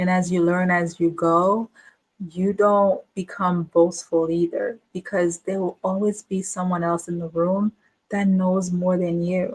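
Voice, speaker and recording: A woman speaks slowly-ish at a medium pitch, somewhat breathy and monotone, with flat intonation at a fairly slow pace in a dry, close sound with no echo. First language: not English, a home language. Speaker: business coach. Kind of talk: casual monologue to camera. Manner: repetitive, filler-heavy.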